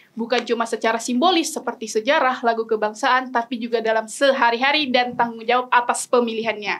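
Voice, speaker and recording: The speech rushes by at a very fast pace. There are hardly any pauses. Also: woman, high pitch for a woman. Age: young. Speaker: podcast co-host. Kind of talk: show opening. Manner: animated.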